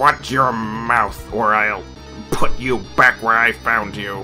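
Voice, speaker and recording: Over clear background music, a man performs a put-on character voice at a medium pitch. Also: fairly slow pace. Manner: menacing, threatening.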